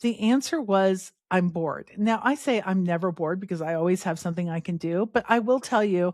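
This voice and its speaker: The recording is very clean, with a silent background. A woman talks at a fairly quick pace in an unremarkable speaking voice. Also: medium pitch for a woman, ordinary pitch variation. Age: 50s. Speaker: podcast host. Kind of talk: solo podcast talk. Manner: casual, conversational with fillers.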